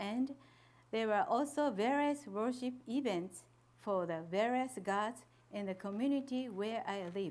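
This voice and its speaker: Someone with a Japanese accent speaks at a fairly slow pace with lively intonation. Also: woman, fairly high pitch for a woman. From Japan, Fukushima. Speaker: missionary's wife. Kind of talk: testimony.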